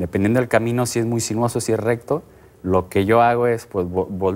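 A man's fairly quick delivery with fairly even intonation. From Mexico. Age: 30s. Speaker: triathlete; guest. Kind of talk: TV interview.

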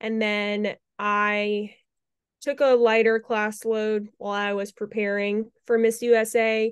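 A woman's fairly high, monotone, flat voice at a very slow pace, over a quiet background. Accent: American. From North Carolina. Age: 20s. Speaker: beauty pageant titleholder. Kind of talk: interview.

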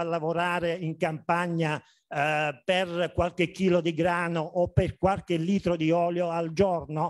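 Against a quiet background, a man with a high-pitched voice speaks at a fairly slow pace. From Basilicata, southern Italy. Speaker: agronomist, conference speaker; conference speaker. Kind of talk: conference talk. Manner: hesitant, many fillers. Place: hall. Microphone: camera far.

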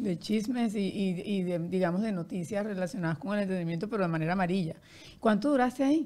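Talking at a very fast pace, a woman uses lively intonation and a dark, mellow tone. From Colombia, Barranquilla; Colombia. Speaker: podcast host, publicist; podcast host. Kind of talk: interview conversation. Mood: warm, cheerful. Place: studio. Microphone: studio mic.

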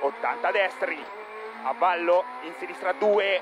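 A man speaks with ordinary pitch variation in a dry sound with no echo, over noticeable background noise. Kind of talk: pace note calling. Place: car.

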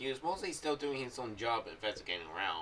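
The tone is fairly bright, and the pitch varies in an ordinary way. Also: man.

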